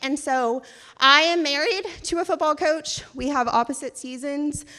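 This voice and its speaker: Raised and projected, a woman's high, bright, sharp voice sounds animated. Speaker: event committee chair. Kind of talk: event speech. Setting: stage with audience. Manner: loud.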